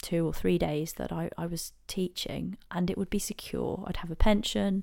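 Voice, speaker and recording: A woman with an English accent at a moderate pace. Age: 30s. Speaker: podcast host, interior designer, former teacher. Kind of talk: personal monologue. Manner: hesitant, many fillers.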